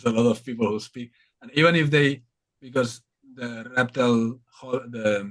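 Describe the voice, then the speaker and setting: A man with a strong Spanish accent speaks at a medium pitch and a moderate pace, with fairly even intonation. His loudness swings widely, and he takes long, frequent pauses. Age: 30s. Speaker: reptile content creator. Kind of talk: casual chat.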